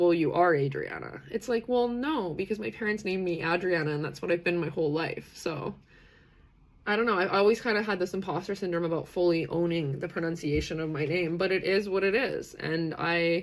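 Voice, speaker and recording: A woman with a Canadian accent, animated in tone, medium-pitched and fairly quick. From western Canada, British Columbia. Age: 30s. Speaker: livestream host on neurodiversity. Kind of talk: live stream community chat. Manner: many fillers, animated.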